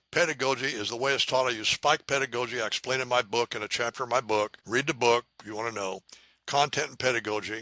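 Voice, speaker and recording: Bright and sharp, a man with an American accent speaks at a very fast pace and medium pitch with fairly even intonation, the sound dry and close with no echo on a very clean recording with a silent background. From US Midwest (Indiana). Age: 80s+. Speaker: math educator. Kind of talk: podcast interview.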